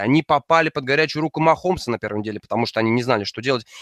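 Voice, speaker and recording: A man at medium pitch with ordinary pitch variation, dry and close with no echo, on a very clean recording with a silent background. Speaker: American football podcaster and writer. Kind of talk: casual chat.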